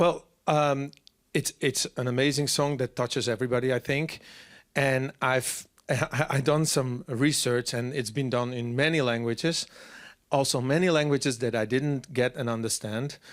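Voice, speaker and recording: A man speaks at a moderate pace with a Frisian accent and fairly even intonation, on a very clean recording with a silent background. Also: medium pitch for a man. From Friesland, Netherlands. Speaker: singer-songwriter. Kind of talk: interview. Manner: halting.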